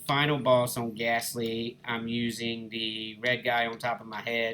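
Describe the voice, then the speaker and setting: A relaxed-toned man with an Alabama accent, medium in pitch. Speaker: gaming YouTuber. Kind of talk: gameplay commentary. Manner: casual, relaxed.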